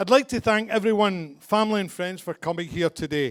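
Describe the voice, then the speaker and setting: In a Glaswegian accent, a man speaks at a fairly quick pace with ordinary pitch variation. The recording is very clean, with a silent background. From Scotland, Glasgow. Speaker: father of the bride. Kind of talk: wedding speech. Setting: wedding reception with guests.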